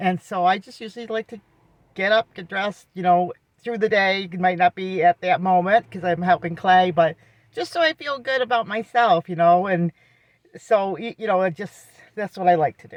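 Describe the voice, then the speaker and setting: In a plain, everyday voice, a woman talks at a moderate pace and medium pitch, with ordinary pitch variation and big swings in loudness. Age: 60s. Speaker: vlogger and caregiver for her husband. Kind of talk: casual vlog talk. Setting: in a car. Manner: conversational, with frequent fillers.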